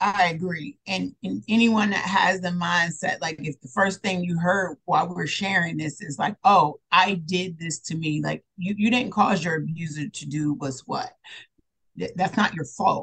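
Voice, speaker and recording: A plain, everyday voice moves at a moderate pace, its pitch shifting in an ordinary way. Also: woman, fairly low pitch for a woman. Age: 40s. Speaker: therapist and mindset coach. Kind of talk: interview.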